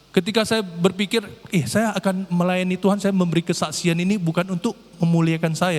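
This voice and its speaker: The man's voice sits high in pitch. He talks at a very fast pace. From North Sumatra, Indonesia. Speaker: lay preacher. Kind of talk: sermon. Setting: church. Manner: occasional repetitions and false starts.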